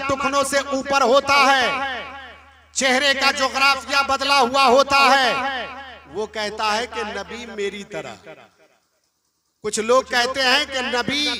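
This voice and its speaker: This man's voice is raised and projected, with an extremely high pitch, a bright, sharp tone and an animated delivery. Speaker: Islamic preacher giving a sermon. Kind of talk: religious sermon (bayan) to a live audience. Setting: live event or gathering with an audience. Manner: animated, rhetorical, asks the audience questions and calls for replies.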